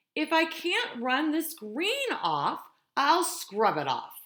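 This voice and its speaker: A woman in a put-on character voice with an extremely high pitch, at a very slow pace. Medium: read story.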